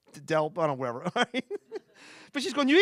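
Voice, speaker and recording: A man with a Philadelphia accent is heard on a very clean recording with a silent background and a dry, close sound with no echo. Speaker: stand-up comedian. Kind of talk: stand-up. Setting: stage with audience.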